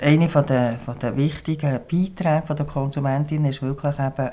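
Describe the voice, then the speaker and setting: Speaking at a moderate pace, a woman has a very deep, low pitch and a dark, mellow tone. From Switzerland, Bern and Biel. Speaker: farmer and small-farmers association representative. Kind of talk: interview. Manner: hesitant, frequent fillers.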